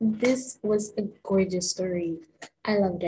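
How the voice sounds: Here is a natural reading voice with fairly even intonation against a quiet background.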